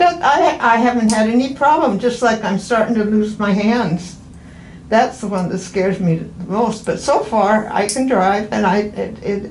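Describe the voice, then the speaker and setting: Noticeable background noise and audible room echo surround a woman's voice. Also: fairly high pitch for a woman, moderate pace. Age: 80s+. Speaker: patient. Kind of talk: casual chat. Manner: halting.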